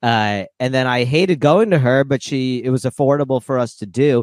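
A man with a plain, everyday voice speaks at a fairly quick pace and medium pitch. The recording is very clean, with a silent background and a dry, close sound with no echo. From Ukraine (Odessa), raised in US from age 7. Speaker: comedian. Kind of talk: casual chat.

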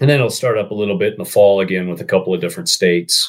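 This man has an unremarkable speaking voice. His pitch sits fairly low, with ordinary pitch variation. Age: 40s. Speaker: conservation group marketing executive. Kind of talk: casual interview.

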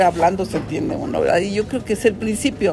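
Noticeable background noise and audible room echo fill the space. A woman talks at a medium pitch, with ordinary pitch variation. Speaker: judge. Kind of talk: press conference.

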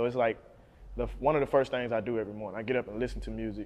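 A man with a Mississippi accent speaks at a very fast pace. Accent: US South, Mississippi. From Jackson, Mississippi. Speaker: rapper. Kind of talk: interview.

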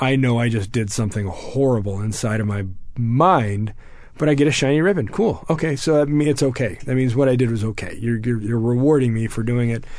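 Recorded with audible room echo, a man with an American accent speaks fairly quickly at a medium pitch with ordinary pitch variation. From Texas. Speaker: war veteran. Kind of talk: interview.

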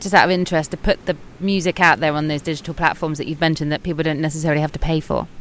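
Music plays behind a woman whose pitch is very deep and low as she speaks very fast in a monotone, flat delivery. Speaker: podcast host. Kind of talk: casual interview chat. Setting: outdoors on a beach.

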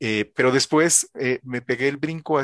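A man at a moderate pace with fairly even intonation, over a quiet background. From El Salvador, schooled from high school in Puebla, Mexico. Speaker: cryptography researcher. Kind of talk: interview. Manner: halting.

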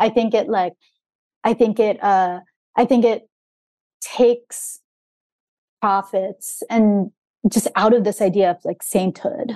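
A woman's fairly high, dark and mellow voice, very slow with long, frequent pauses and fairly even intonation, in a dry, close sound without echo. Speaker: author. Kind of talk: casual interview chat. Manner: hesitant, many fillers.

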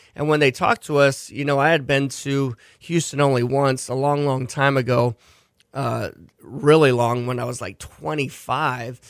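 A man with an unremarkable speaking voice speaks at a fairly high pitch and moderate pace, his intonation fairly even. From Hawaii and US West Coast (Seattle, San Diego). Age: 40s. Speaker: chef and restaurant owner. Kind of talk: interview.

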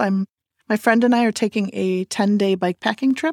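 A woman speaks with ordinary pitch variation. The recording is very clean with a silent background, and the sound is dry and close with no echo. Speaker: fitness studio owner, former nurse midwife. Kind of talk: casual interview. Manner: hesitant.

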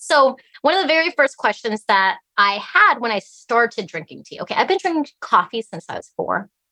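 At a moderate pace, a woman speaks with a high, bright, sharp voice, very wide pitch swings and big swings in loudness, in a dry, close recording with no echo. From Alaska, US, Chinese-speaking family. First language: Cantonese or Chinese. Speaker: tea business owner. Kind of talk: interview.

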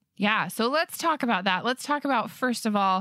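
Recorded very cleanly against a silent background, a woman with a Western US accent speaks in a dry, close sound with no echo. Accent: American (Western US). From Utah. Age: 30s. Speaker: podcast host. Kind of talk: casual interview; scripted intro narration.

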